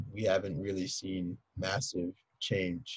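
A man with an American accent talks at a fairly slow pace in a somewhat breathy voice. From Philadelphia, US. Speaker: high school teacher. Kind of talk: casual interview.

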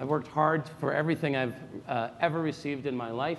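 Audible room echo surrounds a man talking at a very fast pace in a Canadian accent. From Toronto, Canada. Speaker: politician. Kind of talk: political debate. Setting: stage with audience.

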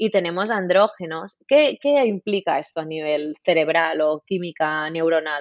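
A woman with an unremarkable speaking voice speaks with lively intonation. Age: 30s. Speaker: naturopath and nutritionist. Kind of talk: interview.

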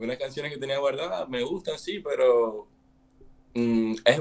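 Speaking at a moderate pace in an unremarkable speaking voice, a man uses lively intonation and a fairly high pitch. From Venezuela. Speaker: musician. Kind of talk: casual chat.

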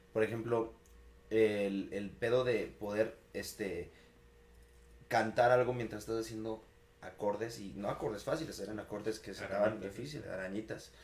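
Over noticeable background noise, a man with a fairly low voice talks at a moderate pace, his intonation fairly even but his loudness swinging widely. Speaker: podcast co-host. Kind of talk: casual chat. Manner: stammering at times.

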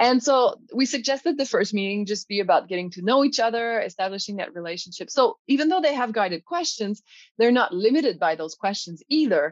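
A woman with a Quebec accent at a fairly high pitch, fairly quick pace with hardly any pauses and very wide pitch swings, against a quiet background. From Quebec, Canada. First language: French. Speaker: college professor, language teacher. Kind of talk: interview conversation.

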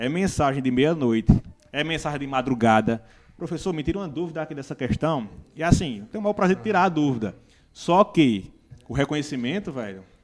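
This man has an ordinary speaking voice, pitched fairly high, moving at a fairly quick pace with lively intonation and big swings in loudness. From Brazil, Northeast (Paraíba). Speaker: biologist and teacher. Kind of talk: casual chat. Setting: studio.

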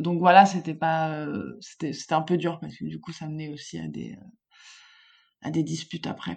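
In a very clean recording with a silent background, a woman speaks at a fairly slow pace with long, frequent pauses and big swings in loudness. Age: 30s. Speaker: furniture designer sharing her fertility journey. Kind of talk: personal testimony in interview.

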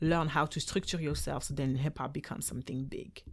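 Someone talks at a very fast pace with a French accent. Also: woman. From Belgium. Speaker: dancer and dance teacher. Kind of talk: casual interview chat.

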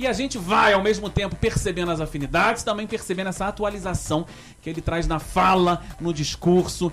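Delivered at a moderate pace, the speech has an animated tone amid noticeable background noise. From Rio de Janeiro, Brazil. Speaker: radio talk show host. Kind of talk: casual interview.

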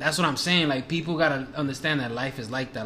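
Over noticeable background noise, an American-accented man is talking. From Washington Heights, New York. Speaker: guest filling in as co-host. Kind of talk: casual banter.

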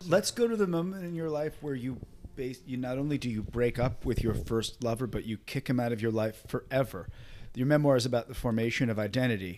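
A man's normal speaking voice at medium pitch, fairly quick pace and ordinary pitch variation. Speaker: interviewer. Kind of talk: interview conversation.

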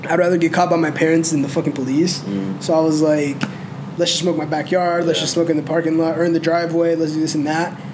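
A man talks at a very fast pace in a fairly high voice. Noticeable background noise sits behind him. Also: fairly even intonation. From North Carolina, Mexican-American family. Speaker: podcast guest. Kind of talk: casual chat.

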